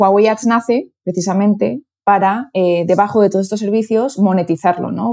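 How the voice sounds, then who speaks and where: A woman speaks with a Castilian accent. Her tone is dark and mellow, and her intonation fairly even. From Spain (Toledo). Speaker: advertising executive. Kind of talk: interview.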